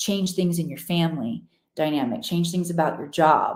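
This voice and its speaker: Speaking with an American accent, a woman keeps a moderate pace and a fairly low pitch, her pitch varying in an ordinary way. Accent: slight Missouri twang that comes out at times. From Missouri, US. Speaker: spiritual teacher. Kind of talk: live stream teaching. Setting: live stream. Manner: animated.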